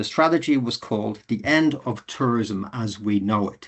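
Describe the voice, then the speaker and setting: Here a man speaks with an Irish accent at a medium pitch. His pace is moderate and his pitch variation ordinary. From Ireland. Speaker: university lecturer and webinar moderator. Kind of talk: webinar introduction. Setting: online webinar. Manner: formal.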